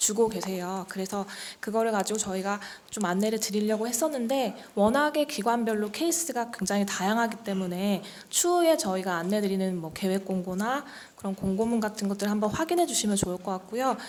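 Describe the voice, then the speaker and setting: Her intonation is lively and her pace fairly quick. This woman speaks at a fairly high pitch. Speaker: training program official presenter. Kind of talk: briefing presentation. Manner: fast; formal.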